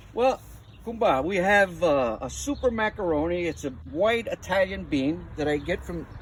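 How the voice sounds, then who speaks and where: The speaker has a northeastern Pennsylvania accent. The pace is moderate. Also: man. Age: 70s. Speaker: home gardener. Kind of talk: interview. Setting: outdoors.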